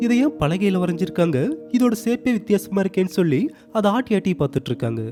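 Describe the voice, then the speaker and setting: With music in the background, a man speaks at a high pitch with very wide pitch swings. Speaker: narrator. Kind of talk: cartoon story recap narration. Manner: casual, conversational.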